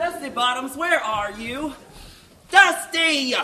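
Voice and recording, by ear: A man's put-on character voice at an extremely high pitch, bright and sharp in tone, with lively intonation, a slow pace and audible room echo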